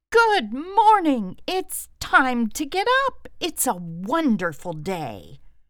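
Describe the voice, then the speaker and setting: In a put-on character voice, the speaker goes high and sing-song at a very slow pace, with hardly any pauses. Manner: happy, sing-song.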